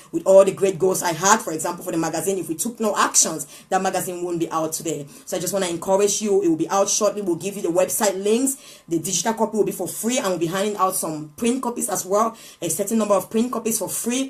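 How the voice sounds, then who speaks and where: Over music in the background, the speech runs at a very fast pace with ordinary pitch variation. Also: woman, medium pitch for a woman. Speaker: motivational speaker. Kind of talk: live inspirational talk. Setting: live stream.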